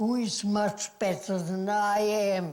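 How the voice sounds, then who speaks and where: Speaking at a very slow pace, a woman holds a medium pitch. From Germany. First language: German. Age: 80s+. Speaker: actress. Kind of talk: interview answer.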